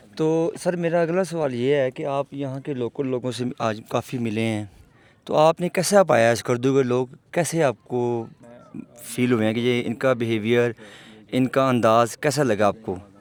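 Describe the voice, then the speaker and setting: Music plays behind a man whose voice has ordinary pitch variation. His sound is dry and close, with no echo. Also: medium pitch for a man. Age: 40s. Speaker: vlogger interviewer. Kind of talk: casual interview.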